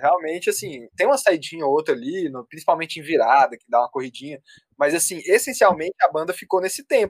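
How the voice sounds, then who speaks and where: A man with a high pitch talks at a fairly quick pace, his pitch swinging very widely, in a dry, close sound with no echo. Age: 20s. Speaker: music producer and audio engineer. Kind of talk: casual chat.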